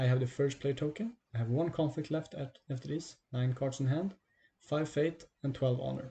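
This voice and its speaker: A man's fairly high, somewhat breathy voice with a dark, mellow tone and ordinary pitch variation. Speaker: card game streamer and tutor. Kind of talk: gameplay tutorial. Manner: fast.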